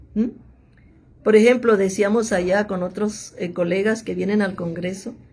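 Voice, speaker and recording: Somewhat breathy, a woman with a fairly high pitch talks at a moderate pace. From Mexico, Monterrey (Nuevo León). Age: 70s. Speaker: theologian and biblical scholar. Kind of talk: interview.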